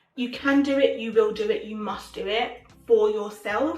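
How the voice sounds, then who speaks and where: Over music in the background, a woman speaks with ordinary pitch variation amid audible room echo. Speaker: lifestyle content creator. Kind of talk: motivational vlog talk. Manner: occasionally halting, word-finding difficulty; animated.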